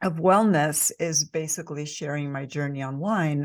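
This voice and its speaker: At a fairly slow pace and with ordinary pitch variation, the speech comes through on a very clean recording with a silent background. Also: woman. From Spain. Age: 60s. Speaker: yoga instructor and content creator. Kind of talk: interview, personal story.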